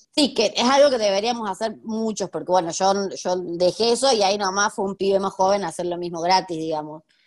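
A woman with an ordinary speaking voice and a medium pitch talks at a fairly quick pace with ordinary pitch variation and hardly any pauses, against a quiet background. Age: 30s. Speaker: history teacher and researcher. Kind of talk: interview conversation.

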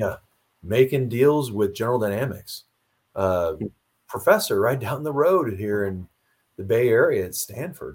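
With an American accent, a man talks at a moderate pace in a somewhat breathy voice, taking long, frequent pauses and showing big swings in loudness. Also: medium pitch for a man, lively intonation, very clean recording, silent background. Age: old. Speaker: retired Marine officer and author. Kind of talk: interview.

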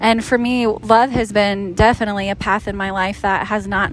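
The woman's intonation stays fairly even at a moderate pace. Noticeable background noise runs underneath. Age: 40s. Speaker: relationship coach. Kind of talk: casual chat. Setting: outdoors on a beach.

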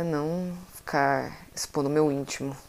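Very slowly, a woman speaks in a very deep, low voice with a dark, mellow tone. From Brazil, Centre-West. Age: 20s. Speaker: podcaster. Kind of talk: solo monologue podcast. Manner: casual.

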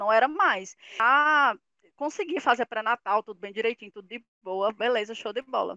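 In an ordinary speaking voice, the speaker shows big swings in loudness and ordinary pitch variation. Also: woman, fairly high pitch for a woman, moderate pace. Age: 30s. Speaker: mother sharing experience on career and motherhood. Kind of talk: casual group conversation.

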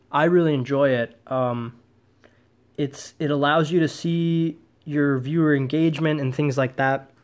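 With an American accent and a normal speaking voice, a man talks at a fairly slow pace, his pitch fairly high and his intonation fairly even. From US Midwest, Wisconsin. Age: 20s. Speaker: podcast host. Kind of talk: solo podcast monologue.

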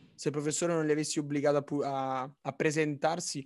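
A man speaks at a fairly high pitch. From Naples. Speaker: podcast co-host, design student. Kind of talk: casual chat.

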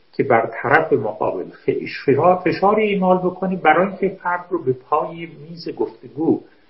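This man speaks in a high-pitched voice. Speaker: philosophy professor. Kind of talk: philosophical discussion.

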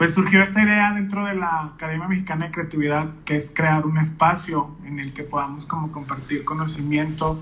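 In a fairly high voice with a bright, sharp tone, a man talks at a moderate pace with hardly any pauses and fairly even intonation, with audible room echo around him. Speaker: podcast host. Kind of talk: casual interview chat. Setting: Instagram live video call.

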